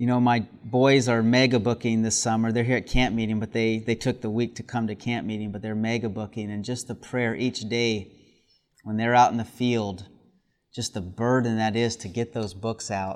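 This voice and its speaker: A man's medium-pitched, monotone, flat delivery at a moderate pace over a quiet background. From US South. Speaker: preacher. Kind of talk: sermon at a camp meeting. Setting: camp meeting with audience.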